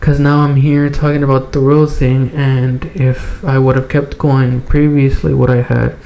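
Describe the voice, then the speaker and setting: There is noticeable background noise behind a man whose voice sits at a fairly high pitch. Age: 20s. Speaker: podcast host. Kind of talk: casual chat. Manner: halting.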